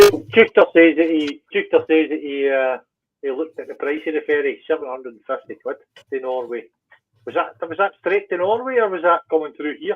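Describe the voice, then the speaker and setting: The speaker has a Scottish accent. The pace is fairly quick. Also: man. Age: 60s. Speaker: biker. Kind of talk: casual chat. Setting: livestream.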